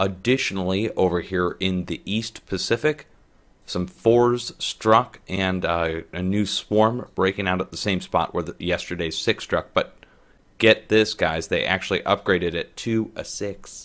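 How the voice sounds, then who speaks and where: Quietly and at a fairly slow pace, a man speaks at a fairly low pitch with ordinary pitch variation. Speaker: earthquake forecast video host. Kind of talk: casual forecast commentary. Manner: quiet, keeping voice down.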